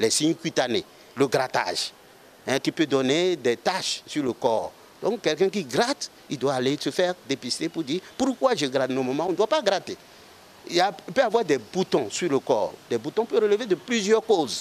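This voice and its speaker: High pitch from a man, his voice ranging very widely up and down. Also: moderate pace, dry sound with no echo. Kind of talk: interview answer. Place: garden. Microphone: handheld.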